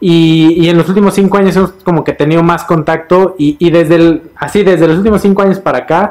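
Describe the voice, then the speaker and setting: A man speaks at a fairly quick pace. His voice is high. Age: middle-aged. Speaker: financial advisor. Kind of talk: casual chat. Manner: halting.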